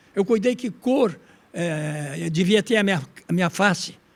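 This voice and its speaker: This man's voice sits high in pitch. He uses lively intonation. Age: 90s. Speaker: former state governor and politician. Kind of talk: interview answer, recollection.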